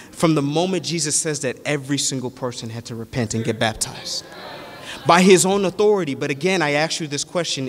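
Noticeable background noise runs under this clip. A man with a fairly high pitch speaks in an animated tone at a fairly quick pace. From Nigeria (Yoruba). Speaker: preacher. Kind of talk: sermon.

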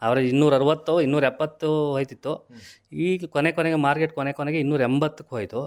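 The recording is very clean with a silent background. A man speaks in a plain, everyday voice, fairly high in pitch with fairly even intonation. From India, Karnataka, Hassan district (Arkalgud). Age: 40s. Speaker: farmer. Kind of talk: interview.

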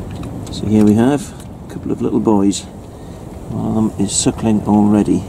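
Over noticeable background noise, a man with a fairly low pitch talks at a moderate pace. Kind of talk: casual vlog chat. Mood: calm, slightly subdued. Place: farm machine. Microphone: phone near.

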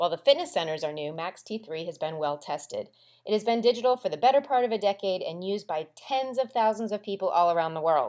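With an upbeat tone, a woman speaks very fast at a medium pitch with very wide pitch swings in a very clean recording with a silent background. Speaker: promotional narrator for a fitness program. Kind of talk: infomercial-style scripted promo narration. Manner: upbeat, hard-selling motivational delivery; punchy, rhythmic list-driven pitch.

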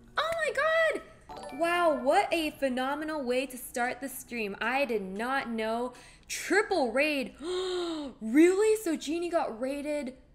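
A woman with a high voice at a very slow pace, her loudness swinging widely, with faint music behind. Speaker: live streamer. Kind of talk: casual live stream chat. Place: home room.

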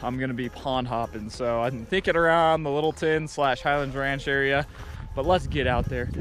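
A man at a fairly quick pace with ordinary pitch variation, dry sound with no echo, and faint music in the background. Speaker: fishing vlogger. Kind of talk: casual vlog chat. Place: open country. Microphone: phone near.

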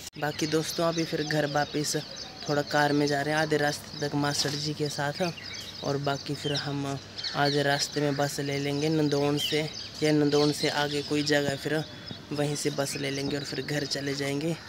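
Over noticeable background noise, a man speaks at a fairly slow pace. The sound is dry, with no echo. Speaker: travel vlogger. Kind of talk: casual vlog chat. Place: street. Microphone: phone near.

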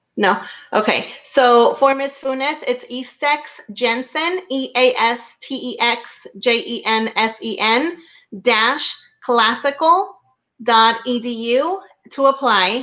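A woman talks at a very slow pace, her voice high-pitched with ordinary variation in pitch. Her tone is bright and sharp against a quiet background. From Mexico, small town. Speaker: school director. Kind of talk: video chat interview. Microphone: video call.

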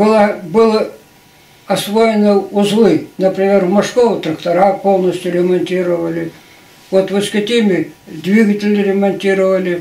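A man speaks at a high pitch in a monotone, flat intonation. His loudness stays very even, and room echo is audible. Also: fairly slow pace. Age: 80s+. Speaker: retired agricultural machinery engineer. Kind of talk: interview answer. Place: home room. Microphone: camera far.

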